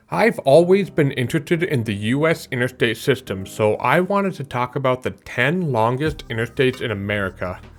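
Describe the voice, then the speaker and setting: Over music in the background, a man at medium pitch talks at a fairly quick pace with very wide pitch swings and hardly any pauses. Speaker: YouTuber explaining infrastructure. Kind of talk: explainer narration. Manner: fast; casual.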